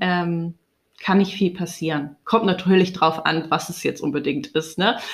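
Fairly even intonation marks a woman's voice pitched in the middle of her range. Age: 30s. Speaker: spiritual podcaster. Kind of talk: personal monologue. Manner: hesitant, many fillers.

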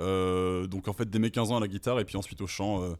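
A man talks in a flat monotone at a very deep, low pitch. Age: 30s. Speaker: metal musician. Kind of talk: casual chat.

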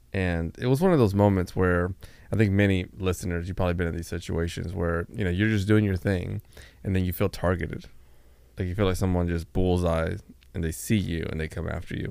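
Very deep and low, a man's voice moves at a fairly quick pace with fairly even intonation. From Dominican Republic, Montecristi. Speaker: podcast co-host with a PhD. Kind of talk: casual interview chat.

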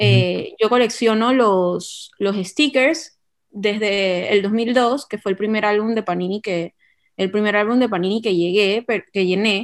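Here is a woman with a normal speaking voice and a medium pitch. She talks at a fairly slow pace with ordinary pitch variation. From Panama. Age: 20s. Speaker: marketing business owner, football fan and card collector. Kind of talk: casual podcast conversation.

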